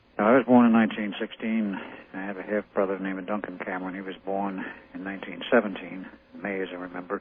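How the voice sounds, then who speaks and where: Against noticeable background noise, a man speaks fairly quickly with a very deep, low pitch and monotone, flat intonation. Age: 60s. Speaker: radio show guest, claimed experiment participant. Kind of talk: radio interview.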